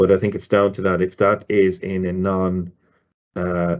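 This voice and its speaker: A man with a very deep, low pitch at a fairly slow pace. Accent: Irish. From Ireland. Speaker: loyalty marketing director. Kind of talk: webinar presentation. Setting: online webinar. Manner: hesitant, many fillers and repeats.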